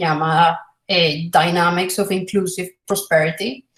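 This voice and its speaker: A woman speaks at a medium pitch and a fairly slow pace. Her voice is somewhat breathy. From Colombia. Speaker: philosophy of economics researcher. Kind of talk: academic lecture. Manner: halting, many fillers.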